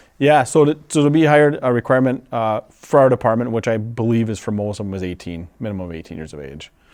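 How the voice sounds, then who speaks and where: Very fast speech in an Upper Midwest accent, with hardly any pauses, big swings in loudness and lively intonation. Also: man, medium pitch for a man. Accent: Upper Midwest American. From western Wisconsin, Menomonie. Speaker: fire chief. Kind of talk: interview.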